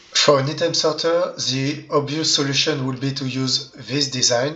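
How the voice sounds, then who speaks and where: At a moderate pace, the speaker talks with a non-native accent over noticeable background noise. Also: man. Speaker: Minecraft redstone tutorial creator. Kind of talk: game tutorial narration. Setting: low-quality microphone.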